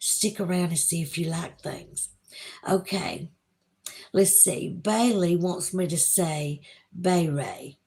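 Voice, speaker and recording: A woman with a strong Southern US accent speaks at a very slow pace and fairly low pitch, somewhat breathy, with long, frequent pauses. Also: fairly even intonation. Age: 50s. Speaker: YouTube livestreamer. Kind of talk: casual livestream chat reading viewer comments. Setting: home livestream by candlelight with Halloween music.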